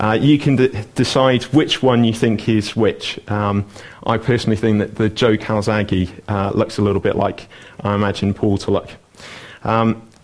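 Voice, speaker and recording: At a moderate pace and with fairly even intonation, the voice comes through over noticeable background noise. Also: man. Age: 20s. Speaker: lay preacher. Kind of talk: sermon. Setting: church.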